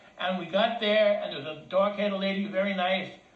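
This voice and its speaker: Amid noticeable background noise and audible room echo, a man with an American accent talks at a high pitch and a very fast pace. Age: 60s. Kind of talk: personal complaint, telling a story. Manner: halting, with repeated words.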